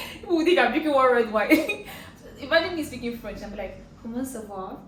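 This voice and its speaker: With a Nigerian accent, a woman speaks fast-ish and animated in a high voice, her pitch swinging very widely and her loudness rising and falling a lot, amid noticeable background noise and audible room echo. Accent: Nigerian English (Igbo). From Nigeria, Anambra State (Igbo). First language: Igbo. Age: 20s. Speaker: Nollywood actress. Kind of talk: casual Q&A chat.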